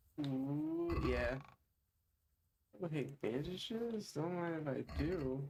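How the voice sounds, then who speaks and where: The speaker's voice is somewhat breathy, with ordinary pitch variation. The pace is very slow, with long, frequent pauses. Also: man, fairly high pitch for a man. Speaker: streamer. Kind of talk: casual live-stream gameplay commentary.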